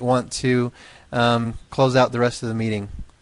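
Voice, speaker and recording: A man talks at a moderate pace. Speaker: company owner. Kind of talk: webinar presentation. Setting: webinar. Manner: halting, repeats words.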